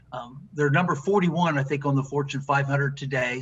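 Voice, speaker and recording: A normal speaking voice from a man, with fairly even intonation. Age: 60s. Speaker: business executive. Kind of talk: interview. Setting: podcast.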